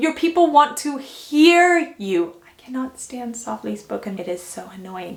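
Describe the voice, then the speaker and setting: Through noticeable background noise, a woman talks at a high pitch. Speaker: fashion YouTuber. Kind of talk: vlog tutorial. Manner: energetic.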